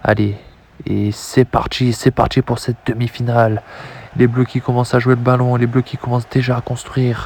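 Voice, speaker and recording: At a moderate pace, a man with a medium pitch talks in a monotone, flat way, somewhat breathy, with a dry, close sound and no echo. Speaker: video game football commentator. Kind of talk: live commentary. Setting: at home, late at night. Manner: soft-spoken, calm.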